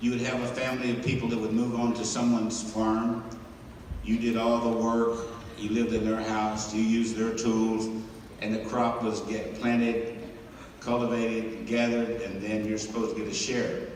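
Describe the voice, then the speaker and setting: A man with a Tennessee accent speaks at a medium pitch in a monotone, flat intonation. Noticeable background noise and audible room echo surround him. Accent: Tennessee Southern, slow. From West Tennessee, US South. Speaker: motivational speaker. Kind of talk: motivational talk.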